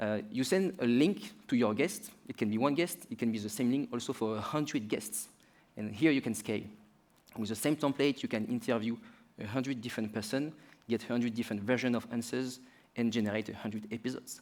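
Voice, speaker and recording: A man with a French accent speaks fairly quickly at a medium pitch with ordinary pitch variation. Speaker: startup founder.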